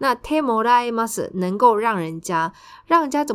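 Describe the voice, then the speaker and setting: A woman talks at a moderate pace. Her intonation is lively. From Taiwan. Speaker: Japanese language tutor and podcast host. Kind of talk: language lesson explaining news.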